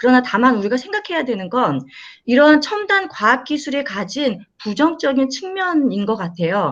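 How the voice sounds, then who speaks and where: This woman's high voice moves at a moderate pace. Her pitch swings very widely. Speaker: professor. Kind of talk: panel discussion. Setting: video call. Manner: hesitant, filler words. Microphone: microphone keeps cutting out.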